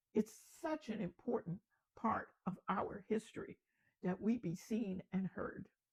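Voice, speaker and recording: An American-accented woman, somewhat breathy, with lively intonation at a fairly slow pace, in a dry, close sound with no echo. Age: 80s+. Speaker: storyteller. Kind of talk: motivational talk.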